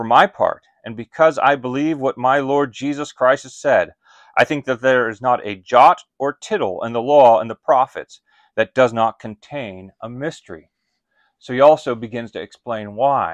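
The sound is dry with no echo, and the background is quiet. Pitch varies in an ordinary way at a moderate pace, with big swings in loudness. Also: man. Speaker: pastor or Bible teacher. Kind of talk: sermon-like teaching talk. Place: home room.

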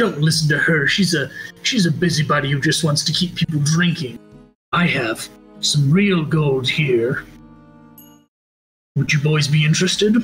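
A man's put-on character voice, fairly high in pitch, over faint background music. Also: moderate pace. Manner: wheedling, eager.

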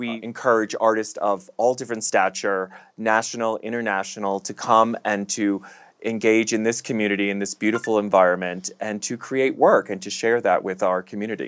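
A man talks in a fairly low pitch with monotone, flat intonation. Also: fairly quick pace. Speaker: arts festival co-founder and show co-host. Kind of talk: casual chat. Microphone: lapel.

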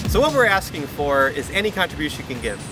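Against noticeable background noise, the speaker moves at a fairly quick pace, the sound dry with no echo. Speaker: presenter. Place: street.

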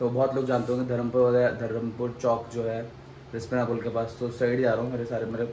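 This man keeps a moderate pace while noticeable background noise fills the recording. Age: 20s. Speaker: vlogger. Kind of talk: casual vlog narration.

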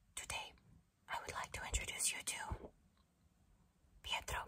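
A woman whispers at a fairly slow pace. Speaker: ASMR creator. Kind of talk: ASMR whisper roleplay. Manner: whispered. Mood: calm, playful. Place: home room. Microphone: studio mic.

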